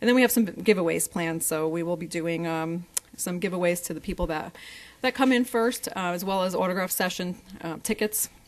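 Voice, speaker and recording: At a fairly quick pace, a woman talks in a fairly low pitch with ordinary pitch variation. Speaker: council presenter. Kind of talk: presentation to council. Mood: upbeat promotional. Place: hall.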